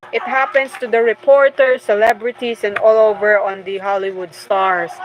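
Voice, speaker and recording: Against noticeable background noise, a woman speaks at a moderate pace, her fairly high pitch showing ordinary variation. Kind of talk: casual book commentary livestream.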